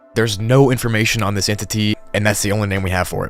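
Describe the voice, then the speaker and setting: A man's very fast speech at a fairly low pitch, with fairly even intonation and noticeable background noise. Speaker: YouTube narrator explaining horror lore. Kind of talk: casual explainer narration.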